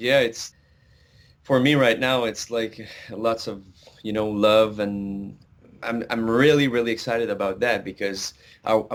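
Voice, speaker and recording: A man with a Quebec accent at medium pitch and fairly even intonation, his fairly slow pace broken by long, frequent pauses, on a very clean recording with a silent background. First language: French. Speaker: country singer. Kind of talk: interview. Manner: halting, many fillers.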